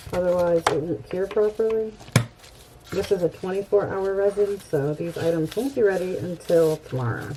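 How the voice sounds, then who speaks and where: A woman's medium-pitched voice with ordinary pitch variation over noticeable background noise. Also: moderate pace. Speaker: crafting YouTuber. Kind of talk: tutorial.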